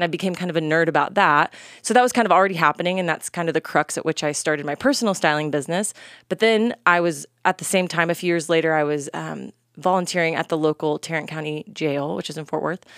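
A woman with an American accent speaks very fast at a fairly low pitch. The recording is very clean, with a silent background. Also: ordinary pitch variation. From North Texas, US. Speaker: fashion entrepreneur and stylist. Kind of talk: casual interview chat.

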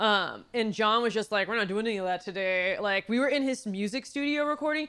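A woman talks in a Californian accent, fairly high in pitch with ordinary pitch variation. The recording is very clean with a silent background. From Los Angeles, San Fernando Valley. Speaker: writer and producer. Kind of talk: casual chat.

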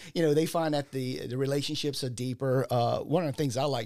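Someone with a South Louisiana accent speaks on a very clean recording with a silent background. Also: man. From South Louisiana, Ascension/Assumption Parish. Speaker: entrepreneur, insurance agent. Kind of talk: casual interview.

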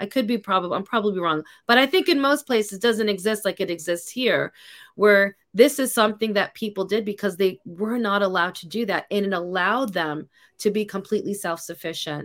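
Recorded very cleanly over a silent background, a woman with an American accent uses an ordinary speaking voice, medium-pitched with ordinary pitch variation, at a fairly quick pace. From New York City. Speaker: podcast host. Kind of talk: casual chat.

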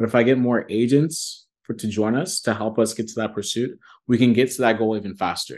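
Against a quiet background, a man with an ordinary speaking voice and a General American accent speaks at a fairly quick pace, medium pitch and fairly even intonation. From US Midwest (Columbus, Ohio), Nigerian family. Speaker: real estate broker. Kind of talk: interview.

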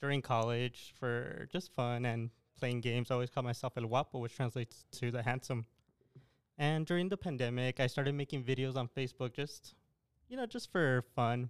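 Speaking at a fairly quick pace, a man with an American accent and an unremarkable speaking voice keeps a medium pitch and fairly even intonation, heard in a dry, close sound with no echo. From El Paso, Texas. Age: young. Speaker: army national guard officer, clothing entrepreneur. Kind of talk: casual interview.

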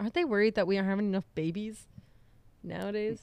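Her pace is very fast. This woman's pitch sits fairly high. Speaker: podcast co-host. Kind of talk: casual chat. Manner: loud.

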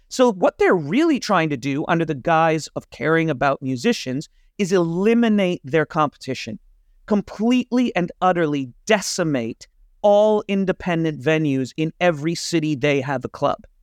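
A man speaks at a high pitch with lively intonation. His pace is moderate, and the sound is dry and close with no echo. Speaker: podcast host and creative freelancer. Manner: rambling, informal, swears often.

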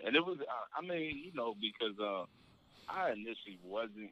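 A man with an American accent talks at a moderate pace in a normal speaking voice. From Virginia, Spotsylvania / Fredericksburg area. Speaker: community member, friend of host. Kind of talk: casual chat. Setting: phone call.

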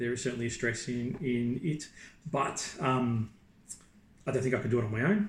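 A man with a somewhat breathy, medium-pitched voice talks at a fairly quick pace with long, frequent pauses and ordinary pitch variation. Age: 40s. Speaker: property investor and executive recruiter. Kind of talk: interview. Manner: halting.

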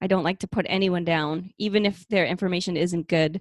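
On a very clean recording with a silent background, a woman speaks with fairly even intonation, the sound dry and close with no echo. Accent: Boston. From Boston. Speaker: podcast co-host, personal trainer. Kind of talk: casual chat, interview.

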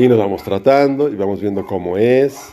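Ordinary pitch variation shapes a voice with a dark, mellow tone. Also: man. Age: 50s. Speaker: podcaster. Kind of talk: casual monologue. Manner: halting.

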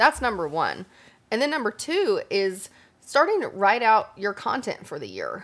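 A woman with a high voice speaks at a moderate pace, her pitch swinging very widely and her loudness shifting a lot. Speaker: podcast co-host, lifestyle blogger. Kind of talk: casual chat. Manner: casual, chatty.

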